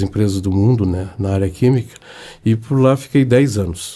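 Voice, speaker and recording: A man with a dark, mellow tone at a medium pitch, moderate pace and ordinary pitch variation. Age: 70s. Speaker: club finance director. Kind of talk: interview.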